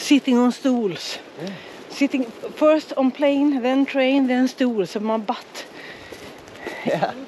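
Speaking at a very slow pace with long, frequent pauses, a woman uses a high voice with ordinary pitch variation in a Swedish accent, the sound dry with no echo and light background noise behind her. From Sweden. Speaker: travel vlogger. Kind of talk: casual vlog chat. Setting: outdoors. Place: forest. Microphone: phone near.

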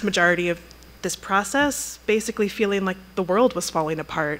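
Here a woman speaks at a moderate pace. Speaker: museum curator introducing a lecture. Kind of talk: introductory speech. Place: hall. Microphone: podium.

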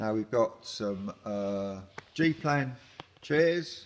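Ordinary pitch variation marks this man's speech. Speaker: auction house staff. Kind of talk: walkthrough commentary showing items. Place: hall. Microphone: phone near.

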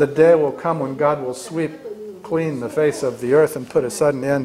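A man talks with ordinary pitch variation at a moderate pace while light background noise runs underneath. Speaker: Bible study teacher. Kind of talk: lecture. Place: classroom. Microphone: camera far.

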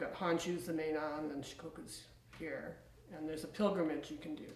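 A woman's fairly low voice at a moderate pace, with audible room echo. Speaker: interviewee. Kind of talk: interview answer. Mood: calm, reflective. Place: home room.

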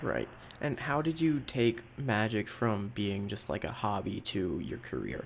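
Lively intonation and vocal fry mark this man's fairly low-pitched voice. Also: fairly slow pace. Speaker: podcast host. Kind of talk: casual interview.

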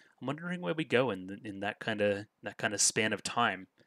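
A man with an Australian accent, fairly low-pitched, bright and sharp in tone, at a fairly quick pace, with dry, echo-free sound against a quiet background. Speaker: anime reaction youtuber. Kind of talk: reaction video commentary. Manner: animated. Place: home room. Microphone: headset.

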